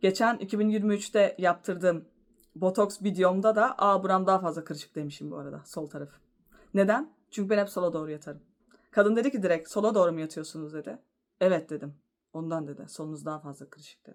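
A woman speaks in a plain, everyday voice at medium pitch with ordinary pitch variation and a fairly quick pace. Her loudness swings widely, and the recording is very clean with a silent background. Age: 30s. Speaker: vlogger. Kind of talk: casual vlog monologue.

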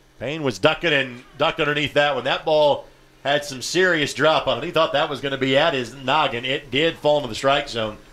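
A man speaks quickly enough, at a fairly quick pace, in a plain, everyday voice pitched fairly high. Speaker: play-by-play announcer. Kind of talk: live sports commentary. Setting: press box at outdoor baseball game. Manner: fluent, steady play-by-play delivery, upbeat with occasional laughs.

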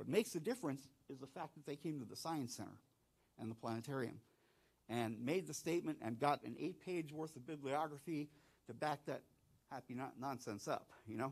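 A man with an American accent speaks in an unremarkable speaking voice at a fairly quick pace, his pitch fairly high with ordinary variation and his loudness swinging widely. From southeastern North Carolina. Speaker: planetarium director. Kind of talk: conference talk. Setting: stage with audience and online viewers.

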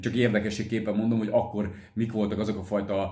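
A man's fairly low voice with audible room echo against a quiet background. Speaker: motorcycle vlogger. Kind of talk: casual Q&A vlog chat. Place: home room. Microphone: phone near.

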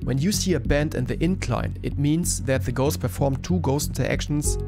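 A man in a German accent with very wide pitch swings and hardly any pauses, over music in the background. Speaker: gaming streamer. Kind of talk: game tutorial narration.

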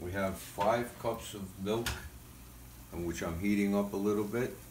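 A man's fairly low voice, fairly slow and fairly even in intonation, with light background noise and audible room echo. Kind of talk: tutorial. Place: kitchen. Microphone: phone near.

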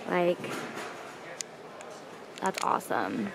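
A woman speaks very slowly with a fairly low pitch and vocal fry. Her pitch swings are big.

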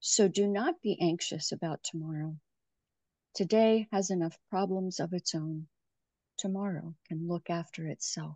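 Dark, mellow female voice, fairly slow with fairly even intonation, dry with no echo, over a quiet background. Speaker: co-leader of prayer. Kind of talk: responsive prayer and psalm reading. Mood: calm, quiet, reverent. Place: home room. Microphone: video call.

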